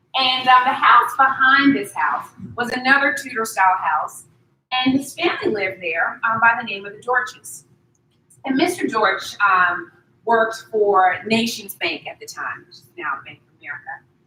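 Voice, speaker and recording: Her loudness swings widely, and her fairly high pitch swings very widely too. The woman speaks at a moderate pace in a slight Southern US accent. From US South, Durham, North Carolina. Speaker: accounting professor. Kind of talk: lecture.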